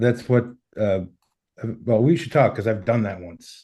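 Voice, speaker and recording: With a Boston accent, a man talks at a moderate pace in a dark, mellow tone, his medium pitch showing ordinary variation. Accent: Boston American. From US, Boston. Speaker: workshop participant. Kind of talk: casual chat.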